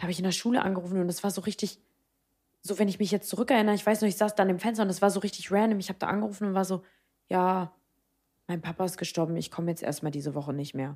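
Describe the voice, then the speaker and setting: In a very clean recording with a silent background, a woman talks very fast. Her pitch is medium. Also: ordinary pitch variation. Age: 20s. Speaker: podcast co-host. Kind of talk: casual chat. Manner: animated.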